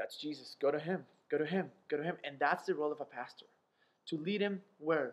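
Fairly quick and fairly even in intonation, a man talks at a fairly high pitch. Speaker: pastor and ministry founder. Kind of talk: interview. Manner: fast.

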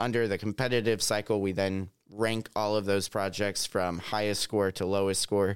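A man with an American accent speaks at a moderate pace with fairly even intonation in a plain, everyday voice. The recording is very clean with a silent background. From Southwest Missouri. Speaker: state grant program manager. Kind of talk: interview.

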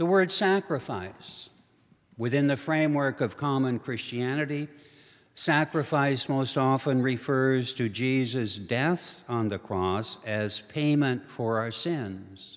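With an American accent and lively intonation, a man speaks at a very slow pace in a very clean recording with a silent background. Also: medium pitch for a man. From Minnesota and eastern North Dakota. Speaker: theologian and retired professor. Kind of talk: lecture. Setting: church hall with live audience.

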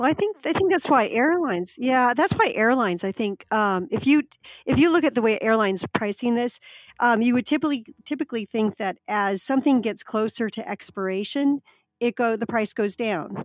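Speaking with an American accent, a woman talks at a fairly quick pace with fairly high pitch and lively intonation. Hers is a plain, everyday voice, dry and close with no echo. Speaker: podcast host. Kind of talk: casual business podcast discussion.

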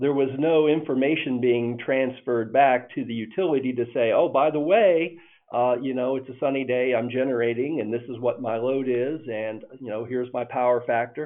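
At a moderate pace, a man talks in an ordinary speaking voice with a medium pitch and fairly even intonation. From northern Indiana. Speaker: electric cooperative CEO. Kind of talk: interview.

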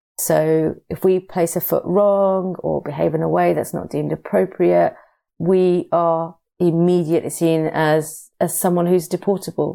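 A woman with a British accent on a very clean recording with a silent background. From UK. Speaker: migrant rights campaigner. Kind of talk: interview. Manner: halting.

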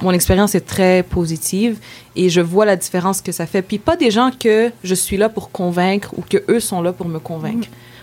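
Amid noticeable background noise, a woman speaks at medium pitch and a moderate pace. Her pitch variation is ordinary, with big swings in loudness. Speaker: feminist activist. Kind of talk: interview.

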